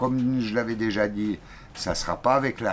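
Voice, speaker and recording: A man's fairly low voice at a fairly slow pace, with a strong Swiss accent. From Switzerland. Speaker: sailing vlogger. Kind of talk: casual chat.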